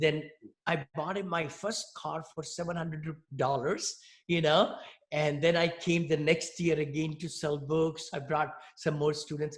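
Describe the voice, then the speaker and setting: A man with an Indian accent, fairly high pitch, fairly slow pace and monotone, flat intonation. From India, New Delhi. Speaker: real estate investor. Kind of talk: interview.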